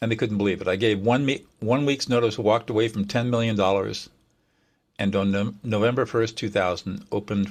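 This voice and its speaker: With vocal fry and an American accent, a man speaks at a fairly quick pace in fairly even intonation, in a very clean recording with a silent background. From southern California. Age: 70s. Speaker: mediator. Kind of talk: interview.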